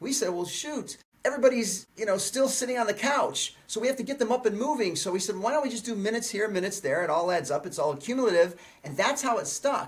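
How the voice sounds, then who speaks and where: Very fast, animated speech with lively intonation. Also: man, high pitch for a man. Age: 60s. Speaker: fitness trainer and video creator. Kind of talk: podcast interview.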